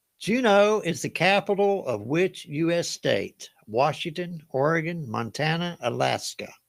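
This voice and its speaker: A man with a Southern US accent speaks at a high pitch and a fairly slow pace, with lively intonation and hardly any pauses. The recording is very clean, with a silent background. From US South. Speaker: game show host. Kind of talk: live trivia game hosting. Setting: livestream. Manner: casual, folksy.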